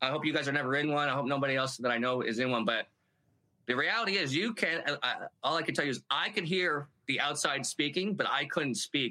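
A man with an unremarkable speaking voice talks at a fairly high pitch, with very even loudness and ordinary pitch variation. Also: fairly quick pace. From Canada, Halifax, Nova Scotia. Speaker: army veteran and comedian. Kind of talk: casual chat.

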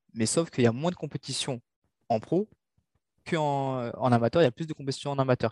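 Recorded with a dry, close sound with no echo and a quiet background, a man speaks at a fairly quick pace with a medium pitch and ordinary pitch variation. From Mauritius. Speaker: boxer. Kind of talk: interview. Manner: halting.

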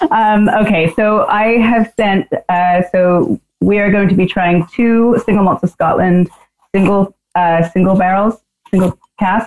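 In an American accent, a woman speaks in an ordinary speaking voice at medium pitch and a fairly slow pace. Her intonation is fairly even and her loudness very even. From New Zealand and US. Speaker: whisky sales manager, former bartender. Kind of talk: casual chat.

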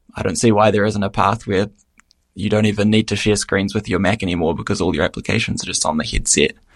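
A man talks very fast in a fairly low voice. His intonation stays fairly even. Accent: New Zealand. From New Zealand. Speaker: app developer. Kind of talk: casual interview.

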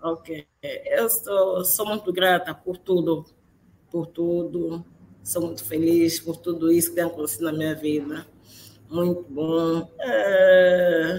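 A woman speaks at a very slow pace with fairly even intonation. Her pitch is fairly low. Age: 30s. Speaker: crane operator. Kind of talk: interview. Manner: halting.

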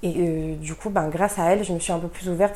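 A woman's dark, mellow voice at a very fast pace, with audible room echo. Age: 20s. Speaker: guest sharing esoteric experiences. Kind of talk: casual chat.

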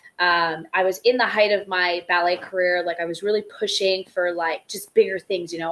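A woman of medium pitch at a fairly quick pace. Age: 20s. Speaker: dancer, actress and show host. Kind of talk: casual chat. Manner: laughs a lot.

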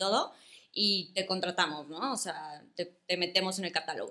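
A woman talks fairly slowly in a bright, sharp tone. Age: 20s. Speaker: small business owner selling wedding bathroom kits. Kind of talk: casual interview.

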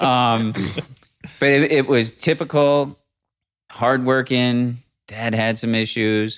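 A man with an American accent speaks at a medium pitch and a very slow pace, with fairly even intonation and long, frequent pauses. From Rochester, New York (US Northeast). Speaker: podcast guest, trainer. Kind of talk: casual interview chat.

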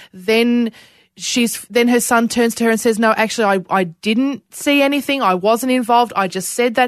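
A woman's fairly high voice in an Australian accent, at a moderate pace with ordinary pitch variation. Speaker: podcast host. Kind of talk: interview.

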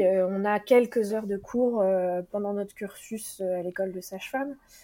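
A dark, mellow tone moves at a fairly slow pace with ordinary pitch variation. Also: woman. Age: 30s. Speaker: midwife. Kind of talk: interview testimony.

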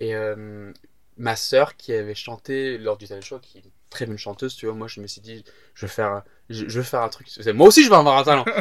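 On a very clean recording with a silent background, a man talks at a fairly quick pace with long, frequent pauses. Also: medium pitch for a man, ordinary pitch variation, big swings in loudness. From England (Southampton). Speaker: stand-up comedian. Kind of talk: casual chat. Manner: halting.

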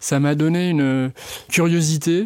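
Recorded very cleanly over a silent background, a man's dark, mellow voice comes through dry and close with no echo and ordinary pitch variation. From western France (Vendée). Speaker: director of a culinary trades school. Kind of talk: interview. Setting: studio, face to face.

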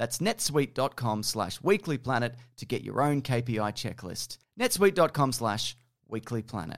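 Talking with lively intonation at a fairly slow pace, a man in an Australian accent keeps a medium pitch. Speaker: podcast host, film news editor. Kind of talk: casual chat. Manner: laughs often.

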